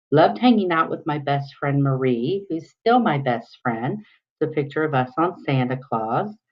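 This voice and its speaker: With an American accent, a woman speaks at a moderate pace in a very deep, low pitch that makes very wide swings. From US Midwest, southern Ohio. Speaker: teacher. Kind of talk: self-introduction screencast.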